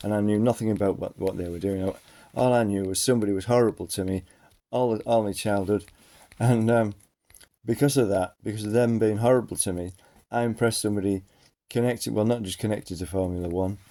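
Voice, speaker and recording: Very fast speech from a man with an English accent, fairly low in pitch, dark and mellow in tone, with fairly even intonation. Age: 50s. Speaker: vlogger. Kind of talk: personal monologue. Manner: halting.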